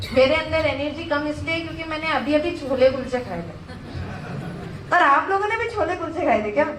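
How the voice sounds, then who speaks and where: Her pitch high and her intonation lively, a woman talks at a moderate pace amid noticeable background noise and audible room echo. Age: 20s. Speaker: network marketing speaker. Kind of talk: motivational speech. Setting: stage with audience. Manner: halting.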